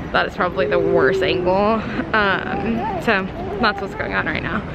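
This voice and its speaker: Dry sound with no echo, crowd noise in the background. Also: woman. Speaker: parent vlogger. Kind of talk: casual vlog chat. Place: hall. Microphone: phone near.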